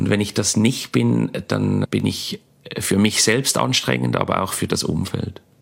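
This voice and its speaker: A man speaks at a fairly slow pace with a fairly low pitch. Noticeable background noise runs underneath. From Switzerland, Basel. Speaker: comedian. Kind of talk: interview.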